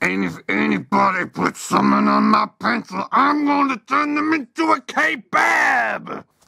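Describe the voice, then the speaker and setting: A man's cartoonish character voice at a moderate pace. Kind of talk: comic overacting. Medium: puppet show. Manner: blustering, threatening wrestling-promo swagger.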